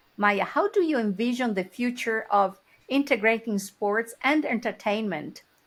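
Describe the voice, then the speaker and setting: In an ordinary speaking voice, a woman talks with a fairly high pitch and ordinary pitch variation. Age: 60s. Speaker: podcast host. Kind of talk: podcast interview.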